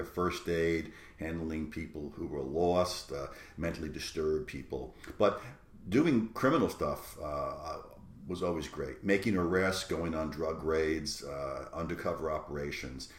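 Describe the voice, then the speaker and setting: Over noticeable background noise and audible room echo, a man with a New York accent speaks at a moderate pace in a very deep, low pitch. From New York City. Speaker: college professor. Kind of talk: lecture. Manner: hesitant, many fillers.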